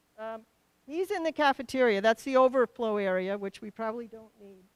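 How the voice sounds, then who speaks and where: A woman with an American accent speaks at a high pitch. The recording is very clean with a silent background, and the sound is dry and close with no echo. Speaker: town meeting moderator. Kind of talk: public meeting chairing. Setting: school auditorium with PA.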